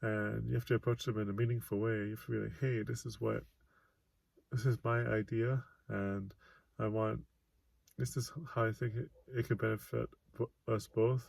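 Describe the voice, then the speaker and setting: A soft-spoken man talks at a moderate pace, leaving long, frequent pauses. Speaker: author and vlogger. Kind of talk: casual monologue vlog. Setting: self-recorded video. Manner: halting, pauses mid-sentence.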